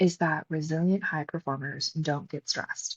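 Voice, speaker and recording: A woman with a fairly low, somewhat breathy voice speaks at a moderate pace in a dry, close sound with no echo against a quiet background. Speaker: podcast host and psychologist coach. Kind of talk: solo podcast talk. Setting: recording live at a retreat. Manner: animated.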